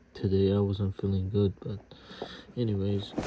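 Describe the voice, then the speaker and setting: A man talks with a fairly low pitch. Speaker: video commentator. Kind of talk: casual monologue. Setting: at home. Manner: talking low; hesitant, many fillers.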